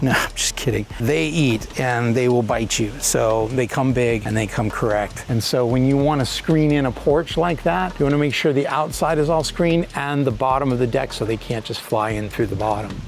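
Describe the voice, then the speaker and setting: Over noticeable background noise, a man speaks at a medium pitch and a moderate pace, with ordinary pitch variation and hardly any pauses. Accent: American. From California. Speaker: real estate agent. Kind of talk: home tour walkthrough. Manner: casual, enthusiastic.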